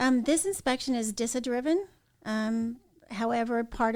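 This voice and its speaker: A woman with an American accent, an ordinary speaking voice and a fairly quick pace. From Southern Oregon. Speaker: information security manager. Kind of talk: podcast interview.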